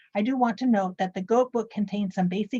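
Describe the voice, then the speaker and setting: A woman talks at a very fast pace in a medium pitch, her voice somewhat breathy with a dark, mellow tone. The sound is dry and close, with no echo. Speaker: librarian giving book reviews. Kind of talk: presentation of book reviews.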